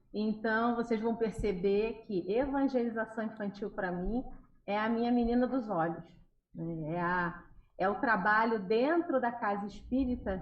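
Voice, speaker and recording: In a Carioca accent, a woman speaks at a fairly slow pace with a fairly high pitch and a somewhat breathy voice. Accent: carioca accent, noticeable in the region. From Rio de Janeiro, Brazil. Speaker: children's religious educator. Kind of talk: interview on a live radio show.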